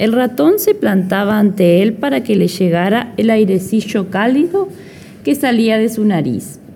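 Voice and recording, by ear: The speaker reads aloud in a natural voice, and the intonation is lively.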